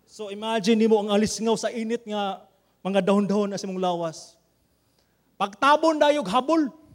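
A man with a Visayan Filipino accent talks at a fairly quick pace and a high pitch. His pitch varies in an ordinary way, and his pauses are long and frequent. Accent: Filipino (Cebuano) English. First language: Cebuano. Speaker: pastor. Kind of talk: sermon.

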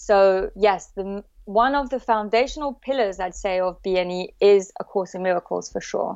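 With a French accent, a woman speaks very slowly at a medium pitch with ordinary pitch variation. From south of France. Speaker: emotional therapy practitioner. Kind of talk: casual chat.

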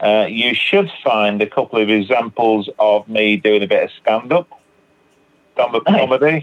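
This man has a medium pitch and lively intonation. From northern England, Manchester. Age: 60s. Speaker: recovering alcoholic, counselor and poet. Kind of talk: recovery testimony in interview.

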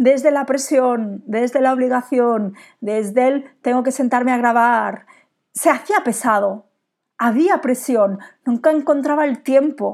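In a very clean recording with a silent background, a woman speaks at a fairly slow pace in a high pitch with ordinary pitch variation. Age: 40s. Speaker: business coach and podcast host. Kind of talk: solo podcast monologue.

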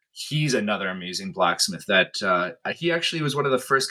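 A man talks at a fairly quick pace in a bright, sharp tone with ordinary pitch variation. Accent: Canadian Prairie. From northern Manitoba, Canada. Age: 30s. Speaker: blacksmith. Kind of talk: casual interview.

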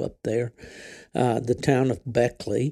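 Heard in a very clean recording over a silent background, a man with an Appalachian accent speaks at a moderate pace, his medium-pitched voice dark and mellow. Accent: Appalachian Southern US. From West Virginia. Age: 70s. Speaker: podcast host and veteran hound hunter. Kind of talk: casual interview. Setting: outdoors at a wildlife refuge.

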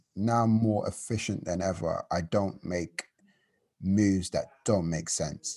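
With a London accent, the voice has a dark, mellow tone and ordinary pitch variation on a very clean recording with a silent background. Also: man. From London, Hackney. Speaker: creative entrepreneur, events founder. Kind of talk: interview.

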